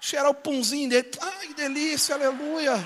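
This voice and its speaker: There is light background noise as a man speaks at an extremely high pitch. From Brazil, São Gonçalo (Rio de Janeiro); Rio de Janeiro, Brazil. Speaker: pastor. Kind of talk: sermon. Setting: church with live audience. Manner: loud; animated. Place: church. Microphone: handheld.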